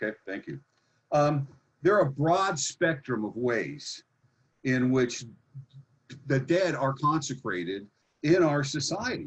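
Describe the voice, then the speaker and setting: A man speaks at a fairly slow pace with a fairly high pitch and lively intonation. His voice is somewhat breathy, with long, frequent pauses. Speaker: expert witness on real estate economics. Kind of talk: expert testimony at public hearing. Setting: video conference. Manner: enthusiastic.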